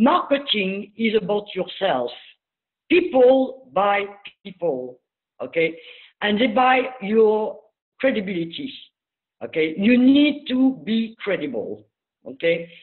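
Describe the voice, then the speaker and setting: With a French accent, a woman of fairly high pitch speaks very slowly, her pitch swinging very widely between long, frequent pauses. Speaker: business speaker. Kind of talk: webinar talk.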